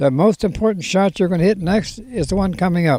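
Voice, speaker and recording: Lively intonation at a fairly quick pace, with a dark, mellow tone. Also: man. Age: 80s+. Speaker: golf professional. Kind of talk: interview answer.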